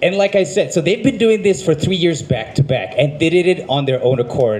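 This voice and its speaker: The speaker has an American accent and a fairly quick pace. Pitch varies in an ordinary way, with noticeable background noise. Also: man. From United States. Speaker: event emcee. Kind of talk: live event emceeing. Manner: casual.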